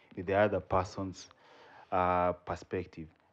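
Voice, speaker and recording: This man has a Kenyan accent and a very deep, low voice. The background is quiet. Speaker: spoken word poet. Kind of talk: podcast interview answer.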